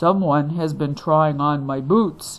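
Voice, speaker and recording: A woman puts on a character voice that is gruff, booming, and very deep and low. She speaks at a fairly slow pace. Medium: read story.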